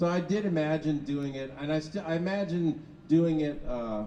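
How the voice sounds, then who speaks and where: Pitched fairly high, a man talks with ordinary pitch variation over noticeable background noise. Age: 60s. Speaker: founder of a machine performance art group. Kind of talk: casual chat.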